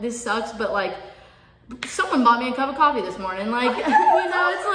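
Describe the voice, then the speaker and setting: A woman's pitch swings very widely as she talks at a medium pace, her voice carrying audible room echo over noticeable background noise. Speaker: podcast host. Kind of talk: casual chat.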